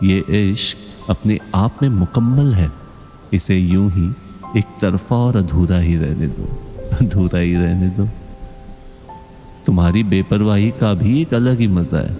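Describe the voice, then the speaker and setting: Music plays behind a man whose voice is very deep and low, with ordinary pitch variation. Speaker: poetry narrator. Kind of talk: Hindi poetry reading, emotional one-sided love monologue. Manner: soft, slow, soulful.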